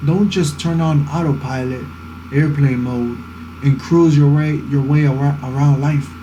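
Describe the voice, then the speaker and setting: With audible room echo and noticeable background noise, a man speaks slowly-ish, fairly high-pitched and with fairly even intonation. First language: Spanish. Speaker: vlogger. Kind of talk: casual talking vlog, life advice. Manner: earnest, motivational.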